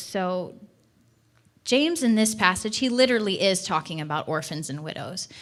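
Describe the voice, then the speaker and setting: A woman's voice with lively intonation and audible room echo. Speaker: church missions director. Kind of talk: sermon. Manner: fast.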